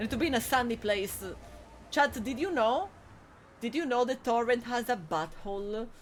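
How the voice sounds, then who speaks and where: A woman with an Italian accent speaks in a high voice with lively intonation, stopping often for long pauses. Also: moderate pace. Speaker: video game streamer. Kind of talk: live gameplay commentary. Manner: animated.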